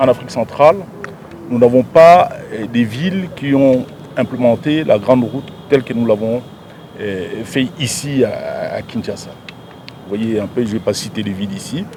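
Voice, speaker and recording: The speech comes at a fairly slow pace with lively intonation and big swings in loudness. Background noise is noticeable. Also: man, medium pitch for a man. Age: 60s. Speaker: provincial governor. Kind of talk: press interview. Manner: halting, with frequent repetitions.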